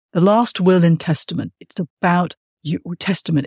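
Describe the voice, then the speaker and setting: In a dry, close recording with no echo, a woman speaks at a moderate pace. Her voice is somewhat breathy and fairly low, with fairly even intonation. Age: 50s. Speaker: podcast host and writer. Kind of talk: interview conversation.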